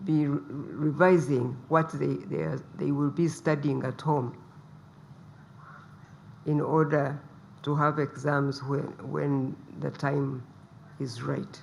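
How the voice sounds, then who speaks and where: A soft-spoken woman with a very deep, low pitch and vocal fry, at a very slow pace with long, frequent pauses and fairly even intonation. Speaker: politician, first lady. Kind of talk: press briefing address.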